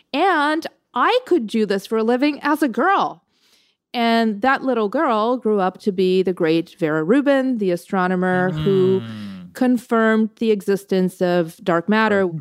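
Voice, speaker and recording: In a normal speaking voice, a woman speaks at a moderate pace and fairly high pitch, her loudness very even and her intonation lively. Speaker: writer and poetry curator. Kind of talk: guest chat with poem reading aloud.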